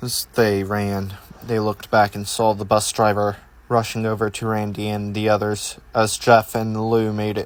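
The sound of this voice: What you hear is an unforced reading voice.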